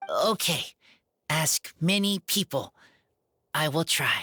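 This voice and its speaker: In a put-on character voice at a middle pitch, the speaker goes at a very slow pace over a very clean recording with a silent background. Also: female-sounding voice. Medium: video game. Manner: terse, broken simple sentences.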